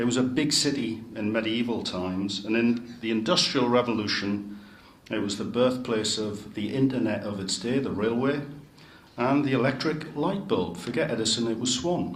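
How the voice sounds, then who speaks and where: Someone with a Geordie accent speaks at a moderate pace with ordinary pitch variation, and audible room echo surrounds the voice. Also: man, medium pitch for a man. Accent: Geordie (Newcastle). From northern England, Newcastle upon Tyne. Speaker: city chief executive. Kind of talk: speech to club members.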